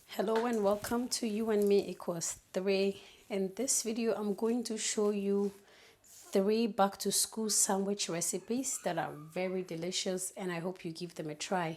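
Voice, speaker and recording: A woman with a non-native accent speaks at medium pitch. Her pace is fairly slow and her intonation fairly even. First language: not English. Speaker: cooking youtuber. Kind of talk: cooking tutorial. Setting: home kitchen. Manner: halting, many fillers.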